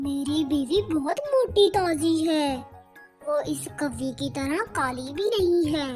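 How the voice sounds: A woman uses a cartoonish character voice at a fairly slow pace, with faint music in the background.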